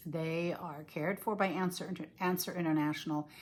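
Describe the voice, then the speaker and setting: In an ordinary speaking voice, a woman keeps a fairly low pitch, fairly even intonation and a moderate pace. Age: 60s. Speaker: cross-stitch designer and video blogger. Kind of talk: casual video chat. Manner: casual, with many fillers.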